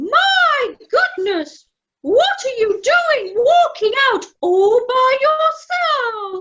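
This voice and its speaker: A woman uses a put-on character voice, squeaky and extremely high in pitch. She speaks very slowly. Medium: audio drama. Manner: fussy, exclamatory.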